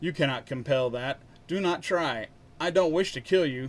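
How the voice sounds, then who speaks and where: Putting on a character voice, a man speaks at a fairly high pitch and a moderate pace. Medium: read story. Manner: calm, formal.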